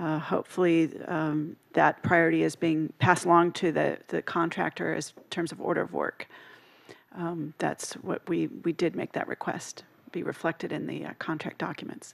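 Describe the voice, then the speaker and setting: The woman's pitch is fairly low, and her intonation is monotone and flat. She keeps a moderate pace. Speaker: state transportation agency representative. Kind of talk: agency report at public meeting. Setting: council chamber meeting. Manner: formal. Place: meeting room. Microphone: podium.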